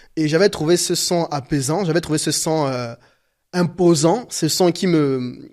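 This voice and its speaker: A man's fairly high voice with a Gabonese accent and fairly even intonation. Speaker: painter. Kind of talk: interview. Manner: halting, many fillers and repetitions.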